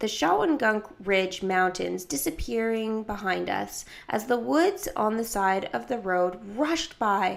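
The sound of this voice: Lively intonation carries an unforced reading voice.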